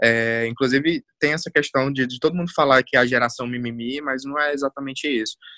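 With a bright, sharp tone and fairly even intonation, a man at medium pitch talks at a fairly quick pace with hardly any pauses, in a dry, close sound with no echo. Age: 20s. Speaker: university lecturer in marketing and communication. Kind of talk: casual chat.

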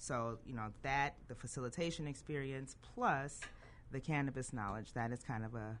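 With vocal fry, a woman speaks at a very deep, low pitch and a moderate pace, her pitch varying in an ordinary way. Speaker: cannabis education entrepreneur. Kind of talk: radio interview.

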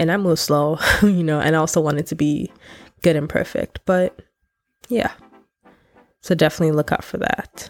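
Pausing long and often, a woman talks at a moderate pace in a low, nasal voice with fairly even intonation.

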